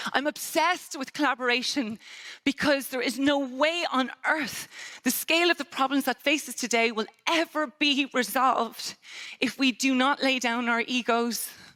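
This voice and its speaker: An animated woman in an Irish accent, high-pitched and projecting a raised voice at a moderate pace, ordinary pitch variation, dry close sound with no echo, noticeable background noise. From Ireland. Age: 50s. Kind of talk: conference keynote talk. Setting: stage with audience.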